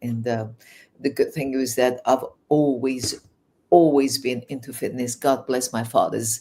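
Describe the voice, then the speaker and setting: At a fairly slow pace, a woman with a Persian accent speaks in a very deep, low voice with a dark, mellow tone and monotone, flat intonation. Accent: Persian accent with English-learned English. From Iran. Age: 60s. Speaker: life coach. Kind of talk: interview. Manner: hesitant, many fillers.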